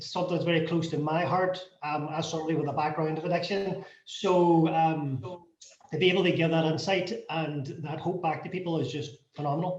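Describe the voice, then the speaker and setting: A man with a Northern Irish accent, fairly high-pitched, fairly even in intonation, at a fairly quick pace, with audible room echo. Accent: Derry Northern Irish. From Derry, Northern Ireland. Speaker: non-profit founder. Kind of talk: panel discussion.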